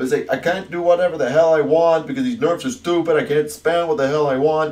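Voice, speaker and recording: In a put-on character voice, a man whines at a very fast pace and a fairly high pitch. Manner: whiny.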